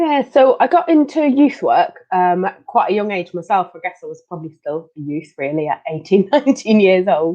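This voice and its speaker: This woman's voice moves through very wide pitch swings and big swings in loudness. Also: medium pitch for a woman, moderate pace. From Belgium, Leuven. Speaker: occupational therapist. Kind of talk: interview.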